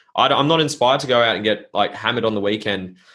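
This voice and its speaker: A man speaks at a medium pitch with ordinary pitch variation. His pace is fairly quick, in an Australian accent. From Norfolk Island. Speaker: entrepreneur and mindset coach. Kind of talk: casual interview.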